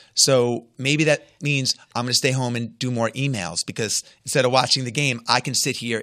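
Heard over a very clean, dry and close recording with no echo and a silent background, a man speaks at a moderate pace in an American accent. His medium-pitched voice has a bright, sharp tone, vocal fry, and ordinary pitch variation. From US Northeast, Long Island. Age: 50s. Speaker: entrepreneur and author. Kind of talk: interview.

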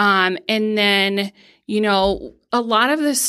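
A woman with an American accent speaks in a bright, sharp tone at medium pitch with ordinary pitch variation, on a very clean recording with a silent background. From Pennsylvania. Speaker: nonprofit youth mentor and fundraiser. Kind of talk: casual interview. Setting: studio.

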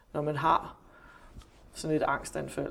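At a fairly slow pace, a woman speaks. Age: 40s. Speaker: journalist and psychotherapist. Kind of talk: interview. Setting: office.

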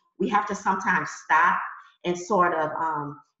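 The speaker has an American accent and a bright, sharp tone. Pitch varies in an ordinary way. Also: woman. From US Midwest (Detroit). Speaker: professor. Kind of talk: panel discussion.

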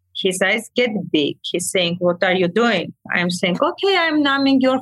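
With an Armenian accent, a woman speaks at a fairly high pitch. Her intonation is lively and her pace fairly slow. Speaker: medical aesthetics practitioner. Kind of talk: storytelling in casual chat. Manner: animated.

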